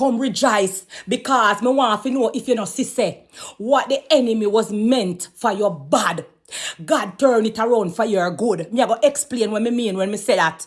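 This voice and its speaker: Lively intonation marks this woman's fairly high voice. She speaks with a Jamaican accent. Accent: Jamaican Patois. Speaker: gossip commentator. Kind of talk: commentary monologue. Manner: fast when agitated; animated.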